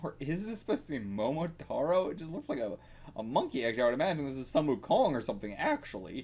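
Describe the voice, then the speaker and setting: A man talks at a very fast pace in a fairly high voice with vocal fry. His pitch swings very widely. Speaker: manga reaction youtuber. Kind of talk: reaction commentary. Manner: animated.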